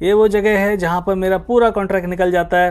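This man's voice sits high. He keeps a moderate pace. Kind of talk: casual vlog tour. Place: office. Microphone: phone near.

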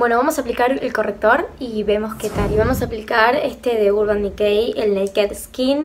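With hardly any pauses, a woman talks at a moderate pace and fairly high pitch, her pitch varying in an ordinary way over noticeable background noise. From Argentina. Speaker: beauty youtuber. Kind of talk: makeup tutorial review. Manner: animated. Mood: cheerful, enthusiastic. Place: home room. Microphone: phone near.

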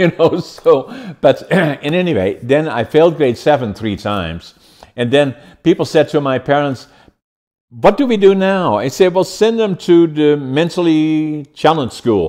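Speaking with a Dutch accent at a fairly slow pace, the voice has lively intonation over a quiet background. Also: man, fairly high pitch for a man. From Netherlands. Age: 80s+. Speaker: podcast host and businessman. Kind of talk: podcast interview. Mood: humorous, self-deprecating. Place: home room.

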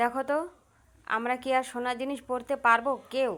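A woman speaks at a high pitch with monotone, flat intonation. The recording is very clean, with a silent background. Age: 40s. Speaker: vlogger. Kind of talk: casual monologue to viewers.

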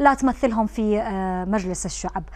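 Over noticeable background noise, a woman with a fairly high voice talks at a moderate pace with ordinary pitch variation. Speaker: TV presenter. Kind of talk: interview; news reading.

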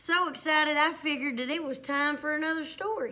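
A woman talks in a Southern US accent at a moderate pace. Her voice is high, bright and sharp. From US South. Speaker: primary school teacher. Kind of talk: children's story reading aloud, bedtime-story style. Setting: school STEM lab, video. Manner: animated; warm, playful, soothing at the close. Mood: warm, excited. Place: classroom. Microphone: phone near.

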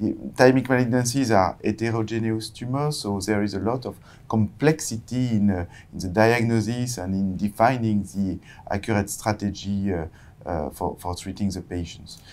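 At a moderate pace, a man speaks with fairly low pitch and ordinary pitch variation. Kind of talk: interview answer. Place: studio. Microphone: lapel.

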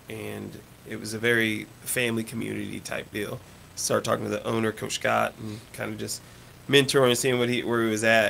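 Light background noise sits behind the voice. The speaker talks at a fairly quick pace with an American accent. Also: man. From Oklahoma. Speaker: surgical assistant, youth gymnastics coach; youth gymnastics coach. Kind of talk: casual radio interview; interview answer. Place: home room.

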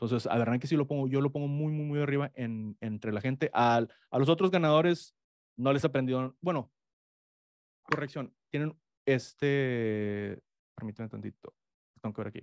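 A man at a moderate pace, with ordinary pitch variation, a dry sound with no echo and a quiet background. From Mexico. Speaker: economics professor; guest. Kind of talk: interview. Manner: halting. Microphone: studio mic.

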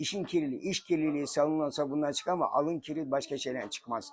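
A man talks with ordinary pitch variation. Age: 70s. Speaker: shoe repairman. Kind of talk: interview answer.

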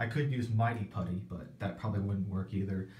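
Speaking at a fairly quick pace, a man with a fairly low voice is heard with audible room echo. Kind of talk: casual vlog chat. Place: bathroom. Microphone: phone near.

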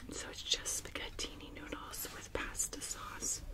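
A woman is whispering. Her pace is fairly slow. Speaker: ASMR creator. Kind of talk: ASMR eating video talk. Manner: soft whispering. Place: home room.

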